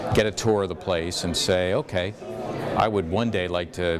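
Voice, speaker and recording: A man's fairly even intonation and moderate pace come through over noticeable background noise. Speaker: sports play-by-play announcer. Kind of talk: career advice talk to students. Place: hall.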